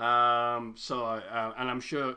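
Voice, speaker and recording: A man with a British accent. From Britain. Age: 40s. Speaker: podcast host. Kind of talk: casual interview chat.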